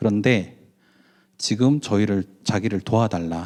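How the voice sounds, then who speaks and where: A dark, mellow tone with lively intonation at a moderate pace, in a dry, close sound with no echo. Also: man. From Daegu, South Korea. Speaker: business owner and mission lecturer. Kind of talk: conference lecture. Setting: conference hall with audience. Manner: conversational, with many fillers.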